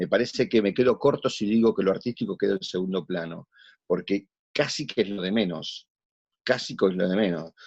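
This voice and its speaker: A man talks at a fairly quick pace in a fairly low pitch with ordinary pitch variation. The sound is dry and close, with no echo. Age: 60s. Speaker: actor. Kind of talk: interview conversation.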